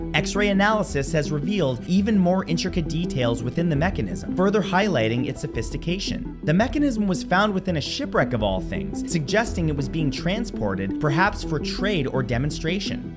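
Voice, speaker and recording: Over clear music in the background, a man talks at a fairly quick pace with hardly any pauses. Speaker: online video host. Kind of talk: educational commentary. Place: home room.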